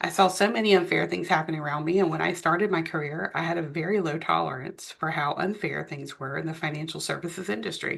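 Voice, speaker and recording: A woman's fairly low voice with vocal fry, ordinary pitch variation and a very fast pace. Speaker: author and business therapist reading her own book. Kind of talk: reading a nonfiction book aloud. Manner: steady, explanatory, with small stumbles.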